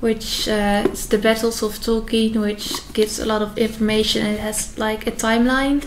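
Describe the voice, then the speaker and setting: In a Dutch accent, the voice runs at a moderate pace with hardly any pauses and monotone, flat intonation, over noticeable background noise. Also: woman, fairly high pitch for a woman. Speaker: youtuber. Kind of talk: casual reaction video commentary. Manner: hesitant, many fillers.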